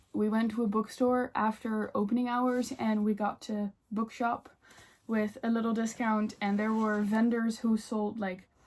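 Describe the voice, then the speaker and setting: A woman speaks in a Dutch accent with a fairly high, somewhat breathy voice. Her tone is dark and mellow, and her intonation is monotone and flat. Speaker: book vlogger. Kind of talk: casual chat.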